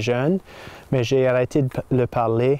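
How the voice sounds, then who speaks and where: This voice has a dark, mellow tone and moves at a very slow pace. Intonation stays fairly even, and the sound is dry and close with no echo. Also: man. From northern Maine, Saint John Valley (Fort Kent area). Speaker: French teacher. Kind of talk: personal testimony. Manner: halting, with many hesitations.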